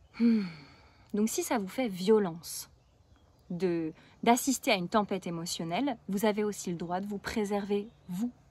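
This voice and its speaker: Somewhat breathy speech with ordinary pitch variation and long, frequent pauses, on a very clean recording with a silent background. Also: woman, medium pitch for a woman. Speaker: parenting coach. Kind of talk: video tutorial. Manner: fast. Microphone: new camera.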